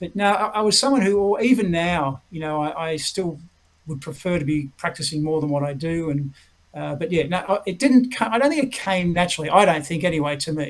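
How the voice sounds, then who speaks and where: The speaker has an Australian accent and a fairly quick pace. The intonation is lively. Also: man, high pitch for a man. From Australia, Melbourne. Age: 60s. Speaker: retired tenpin bowler. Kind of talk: interview.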